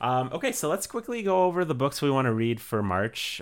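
Very wide pitch swings from a man at a moderate pace. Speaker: podcast host, photographer. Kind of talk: casual chat. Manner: loud.

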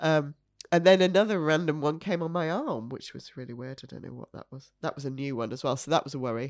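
A woman talks very fast with a Yorkshire accent, her pitch very deep and low. The recording is very clean, with a silent background. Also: ordinary pitch variation, big swings in loudness. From Yorkshire, York. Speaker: cancer survivor and mother. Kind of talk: testimony.

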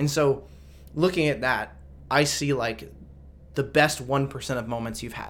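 A man with a fairly high pitch and vocal fry speaks at a moderate pace, his intonation fairly even and broken by long, frequent pauses. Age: 20s. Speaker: biotech salesperson. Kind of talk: casual chat.

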